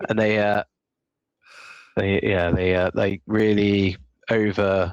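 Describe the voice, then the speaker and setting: With a West Country accent, a man talks very slowly in a fairly low voice with fairly even intonation, the sound dry and close with no echo. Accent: West Country (Somerset). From Somerset, southwest England. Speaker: podcast co-host. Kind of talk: casual chat.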